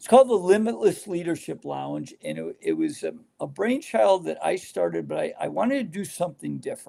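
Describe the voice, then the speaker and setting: The speech runs at a fairly quick pace with hardly any pauses, and its loudness swings a lot. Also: man. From New York State (Rochester area). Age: 60s. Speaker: motivational speaker and retired basketball coach. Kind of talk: podcast interview. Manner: halting, with many fillers.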